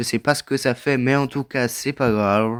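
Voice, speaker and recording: On a very clean recording with a silent background and a dry, close sound with no echo, a man speaks at a fairly slow pace in a medium pitch. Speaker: gaming video creator. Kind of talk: casual gameplay commentary. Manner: loud.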